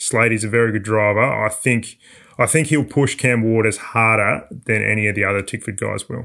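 Vocal fry runs through this man's medium-pitched voice, in an Australian accent. His intonation is fairly even and his pace moderate. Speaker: motorsport journalist. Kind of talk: casual chat. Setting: remote call.

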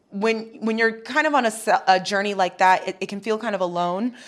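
The recording is very clean, and the background is silent. A normal speaking voice with ordinary pitch variation moves along at a fairly quick pace. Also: woman. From US, military family (Hawaii, Arizona, Chicago). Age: 30s. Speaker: TV host. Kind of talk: interview conversation.

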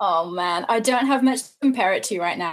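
A woman speaks with an English accent. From England. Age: 20s. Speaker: traveler. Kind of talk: interview.

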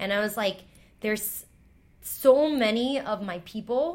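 Using a normal speaking voice, a woman with an American accent talks at a moderate pace with ordinary pitch variation. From New York City, Chinatown / Lower East Side. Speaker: storyteller and teacher. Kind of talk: casual chat.

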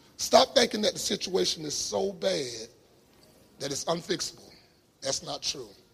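There is noticeable background noise as a man speaks in an animated tone with a fairly high voice. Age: 50s. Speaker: pastor. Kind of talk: sermon. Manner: animated, emphatic with repetition.

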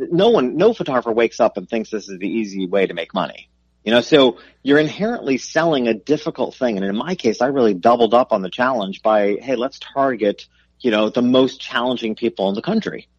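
A man with an ordinary speaking voice and a medium pitch talks at a fairly quick pace with lively intonation. The sound is dry and close with no echo, over a quiet background. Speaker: business coach and author. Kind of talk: interview.

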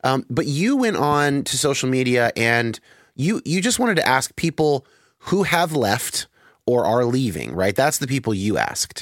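A man with a normal speaking voice talks at a moderate pace and very even loudness, in a dry, close sound with no echo on a very clean recording with a silent background. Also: medium pitch for a man, lively intonation. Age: 30s. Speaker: podcast host. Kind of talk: casual interview conversation.

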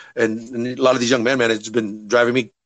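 At a fairly quick pace, a man uses a normal speaking voice at a medium pitch. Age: 30s. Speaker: MMA fighter and striking coach. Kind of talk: casual interview.

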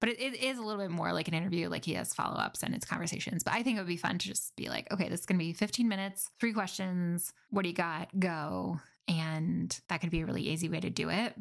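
Very fast and fairly low for a woman, her voice carries vocal fry and ordinary pitch variation. The recording is very clean, the background silent. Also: hardly any pauses. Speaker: podcast host. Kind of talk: casual solo monologue. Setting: closet. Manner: natural conversational.

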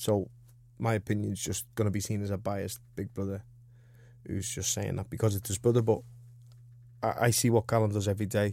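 On a very clean recording with a silent background, a man in a Liverpool accent speaks at a fairly quick pace yet with long, frequent pauses, his fairly low pitch set in a dark, mellow tone with vocal fry and fairly even intonation. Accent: Scouse. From Liverpool, England. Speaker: professional boxer. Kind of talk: casual interview.

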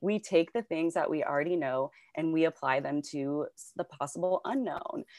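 This woman has an unremarkable speaking voice with a fairly low pitch and ordinary pitch variation. She keeps a moderate pace with big swings in loudness, in a dry, close sound with no echo. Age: 30s. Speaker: behavioral health worker. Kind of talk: casual interview chat.

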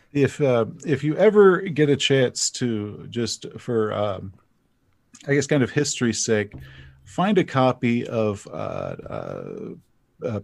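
In an American accent, a man speaks at a very slow pace with lively intonation on a very clean recording with a silent background. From US South, East Texas. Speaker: fantasy author and RPG YouTuber. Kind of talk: casual interview chat. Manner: halting, repeats words.

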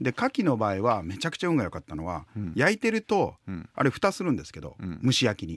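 On a very clean recording with a silent background and a dry, close sound with no echo, a man talks at a very fast pace in a medium pitch, with vocal fry, very wide pitch swings and big swings in loudness. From Hiroshima, Japan. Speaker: company CEO and restaurant consultant. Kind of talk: casual interview chat.

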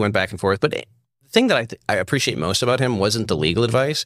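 A man with an American accent at a very fast pace, medium pitch and ordinary pitch variation. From Virginia, US. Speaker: former prisoner. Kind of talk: interview.

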